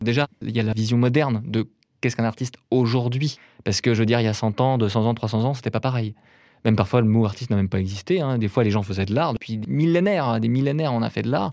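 At a very fast pace, a man of medium pitch talks with ordinary pitch variation on a very clean recording with a silent background. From Brittany, France (near Rennes). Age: 30s. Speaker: painter. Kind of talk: interview. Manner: hesitant, many fillers.

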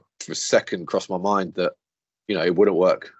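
A man talks at a very fast pace. He speaks with a British accent. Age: 30s. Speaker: property finance executive. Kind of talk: interview.

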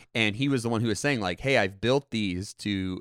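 In a very clean recording with a silent background and a dry, close sound with no echo, a man talks at a fairly quick pace with lively intonation in an ordinary speaking voice. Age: 20s. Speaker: podcast co-host. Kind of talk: casual chat. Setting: studio.

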